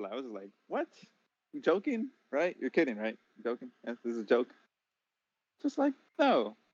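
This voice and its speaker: Recorded with a dry, close sound and no echo, a man talks at a moderate pace with very wide pitch swings. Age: 20s. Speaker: podcast guest, host's friend. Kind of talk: casual chat.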